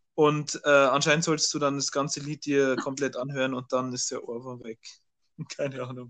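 A man's fairly high, monotone voice with flat intonation, a moderate pace and big swings in loudness. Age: young. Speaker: podcast co-host. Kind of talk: casual chat. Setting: remote recording.

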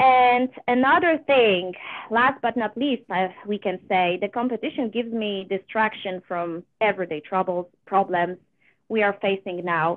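With a Polish accent, a woman talks at a fairly slow pace in a medium pitch with ordinary pitch variation. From Poland. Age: 30s. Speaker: amateur singer, competition contestant. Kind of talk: interview.

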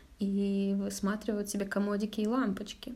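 This woman's fairly high voice has a dark, mellow tone and is somewhat breathy. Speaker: advertising manager at news outlet. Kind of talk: casual chat. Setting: at her home.

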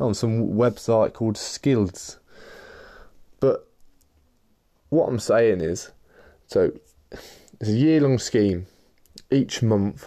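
Against a quiet background, a man with an East Midlands accent speaks at medium pitch and a fairly slow pace, his tone dark and mellow, with ordinary pitch variation. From Leicester, English Midlands. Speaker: podcast host and business founder. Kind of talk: casual solo monologue. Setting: in his room.

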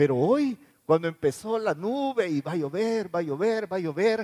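Lively intonation from a man with a high-pitched voice, the sound dry and close with no echo. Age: 60s. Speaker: pastor. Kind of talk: sermon.

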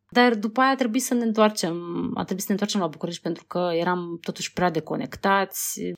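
A woman talks at a very fast pace in a medium pitch. Her pitch varies in an ordinary way. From Moldova. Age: 30s. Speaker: documentary filmmaker. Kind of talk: interview.

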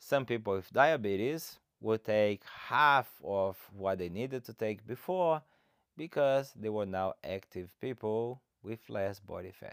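A man with a Brazilian accent speaks fairly slowly at a fairly low pitch, his lively intonation paired with big swings in loudness. The sound is dry and close with no echo, very clean against a silent background. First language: Portuguese. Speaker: fitness coach and podcaster. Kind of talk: solo podcast introduction, casual monologue. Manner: informal, motivational, friendly.

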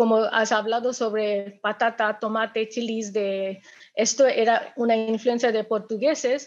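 A woman with an Indian accent speaks at a very slow pace, her pitch fairly high and her intonation fairly even. The background is quiet. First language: Indian language (speaking Spanish). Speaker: restaurant events manager. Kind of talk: webinar talk. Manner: halting.

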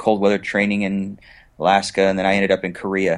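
A man's very deep, low voice with an American accent against a quiet background. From US West Coast. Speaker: entrepreneur. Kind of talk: interview.

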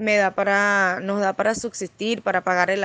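An unremarkable speaking voice, fairly slow and fairly even in intonation, against a quiet background. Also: woman, dry, close sound with no echo. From Venezuela. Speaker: refugee, former lawyer. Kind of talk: testimony.

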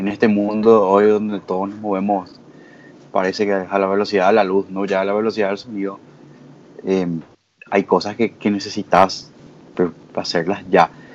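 Leaving long, frequent pauses, a man with a fairly low voice speaks at a moderate pace in a flat monotone. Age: 20s. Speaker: lawyer, community member. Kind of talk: casual panel discussion.

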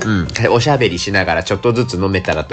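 A man speaks at a very fast pace with a fairly low pitch. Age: 30s. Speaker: podcast host. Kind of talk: solo casual monologue while drinking. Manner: casual, chatty with fillers.

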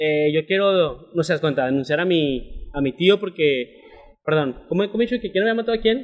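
With lively intonation, a man talks in a high-pitched voice. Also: moderate pace. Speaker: podcast host. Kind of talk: casual chat.

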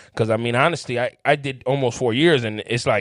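A man with a Chicago accent speaks at a moderate pace with ordinary pitch variation. The recording is very clean and dry, close with no echo and a silent background. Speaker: formerly incarcerated guest. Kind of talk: casual chat.

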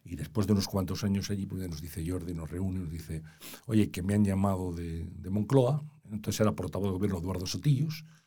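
A man with a very deep, low voice and a dark, mellow, somewhat breathy tone speaks at a fairly quick pace with ordinary pitch variation. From Spain, Valladolid. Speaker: journalist and consultant. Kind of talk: interview.

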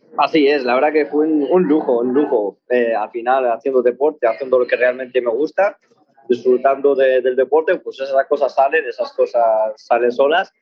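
A man's medium-pitched voice, showing ordinary pitch variation, proceeds at a moderate speed. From Morocco (Tangier), raised in Spain. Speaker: barefoot runner. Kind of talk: interview. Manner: halting.

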